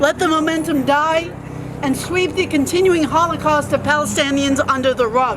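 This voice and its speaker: Over noticeable background noise, a woman speaks in a high pitch at a moderate pace with ordinary pitch variation. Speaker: activist speaker at a rally. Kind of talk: rally speech. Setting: outdoor rally without amplification. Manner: soft-spoken.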